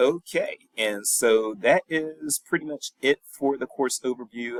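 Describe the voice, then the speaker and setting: Strongly Southern US in accent, a man speaks. The sound is dry and close, without echo. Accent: Southern US, strong. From US South, North Carolina and Virginia. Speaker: professor. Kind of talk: recorded lecture. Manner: casual.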